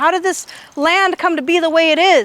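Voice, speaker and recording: Loud and animated, a woman with an American accent speaks at a fairly quick pace and an extremely high pitch over noticeable background noise. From California, Indian Canyon near Hollister. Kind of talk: public talk.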